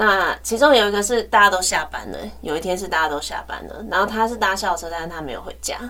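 A woman's very fast speech with hardly any pauses, over noticeable background noise. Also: medium pitch for a woman, ordinary pitch variation, big swings in loudness. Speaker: teacher and podcast co-host. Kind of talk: casual chat.

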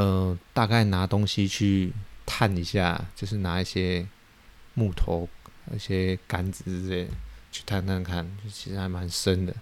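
Long, frequent pauses run through a man's speech at a very deep, low pitch. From Taiwan. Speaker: podcast host, fish farmer. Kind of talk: casual monologue, storytelling. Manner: hesitant, many fillers.

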